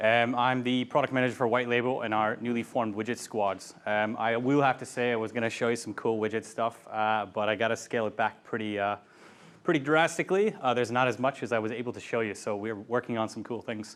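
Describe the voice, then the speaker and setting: Very fast in pace, a man speaks with fairly even intonation. The background is quiet. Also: medium pitch for a man. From US Midwest, Ohio. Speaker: product manager. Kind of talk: meetup talk. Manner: casual, many fillers.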